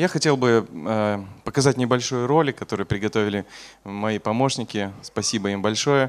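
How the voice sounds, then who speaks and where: Moderate pace and ordinary pitch variation from a man. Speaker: preacher. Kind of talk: sermon. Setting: church. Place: church. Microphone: podium.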